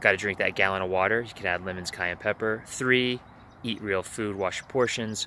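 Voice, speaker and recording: This man's fairly low voice has a bright, sharp tone and fairly even intonation, recorded with a dry sound, no echo, and light background noise. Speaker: life coach vlogger. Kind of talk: casual vlog chat. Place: waterside. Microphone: earbuds.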